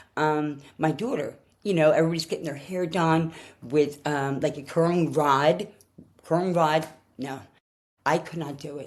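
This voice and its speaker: A woman with a Philadelphia accent talks in a very deep, low voice at a moderate pace. Her intonation is fairly even, and the recording is very clean with a silent background. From Philadelphia, US. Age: 60s. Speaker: person sharing her diagnosis story. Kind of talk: personal testimony. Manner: halting, with many fillers and restarts.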